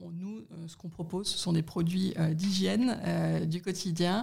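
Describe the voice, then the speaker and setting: A woman's fairly low pitch, with vocal fry. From Paris, France (partly raised in Middle East). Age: 40s. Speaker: corporate sustainability director. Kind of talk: interview. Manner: hesitant, many fillers.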